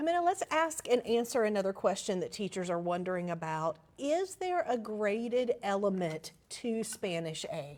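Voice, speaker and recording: A Southern US accent with very wide pitch swings and hardly any pauses. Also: woman, fairly high pitch for a woman, moderate pace. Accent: Southern American. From US South, Alabama. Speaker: managing editor, presenter. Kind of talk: educational webinar discussion.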